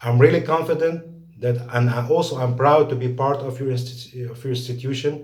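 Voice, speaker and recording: A man's somewhat breathy, medium-pitched voice with fairly even intonation and big swings in loudness. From Lebanon. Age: 40s. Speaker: scholarship applicant, engineer. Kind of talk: video application pitch. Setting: home recording. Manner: halting.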